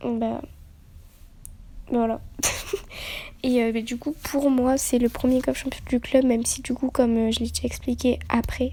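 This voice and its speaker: A soft-spoken woman talks at a fairly slow pace. Her speech has long, frequent pauses. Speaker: youtuber. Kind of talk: casual vlog intro.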